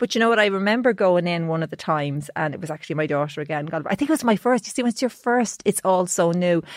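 The woman talks at a very fast pace with hardly any pauses, her medium-pitched voice lively in intonation on a very clean recording with a silent background. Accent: Irish. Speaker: podcast host, journalist. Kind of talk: casual chat.

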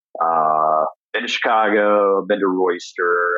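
A man speaks with a Midwestern US accent. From Indiana. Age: 40s. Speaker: chef. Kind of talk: casual interview chat. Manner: hesitant, many fillers.

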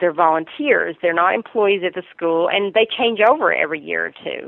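With a Southern US accent, a woman speaks at a moderate pace using lively intonation. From US South, Virginia. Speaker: marketing executive. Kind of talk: interview.

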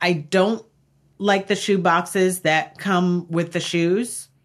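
Against a quiet background, a woman with a New York accent speaks in a fairly low pitch. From US Northeast (Long Island, New York). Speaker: professional organizer. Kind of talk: casual chat. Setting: studio.

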